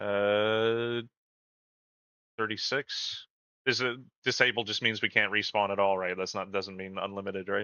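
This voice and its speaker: A man with a Canadian accent speaks at a moderate pace in a fairly low pitch. His delivery is monotone and flat, with long, frequent pauses. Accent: Canadian, mistaken for American by chat. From Canada. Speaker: gaming community manager, stream host. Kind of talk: live gameplay stream chat.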